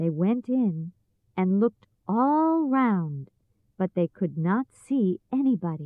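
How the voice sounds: A natural reading voice, lively in intonation, against a quiet background.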